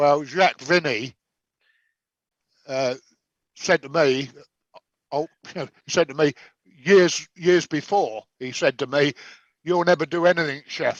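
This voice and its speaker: Long, frequent pauses break up this fairly slow delivery in an English accent. The sound is dry and close, with no echo. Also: man, fairly high pitch for a man, ordinary pitch variation. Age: 70s. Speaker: chef and competition judge. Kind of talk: casual chat. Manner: halting.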